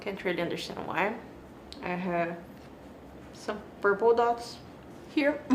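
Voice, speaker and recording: With audible room echo and noticeable background noise, a woman of medium pitch talks at a fairly slow pace, with lively intonation and long, frequent pauses. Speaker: beauty vlogger. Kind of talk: product review.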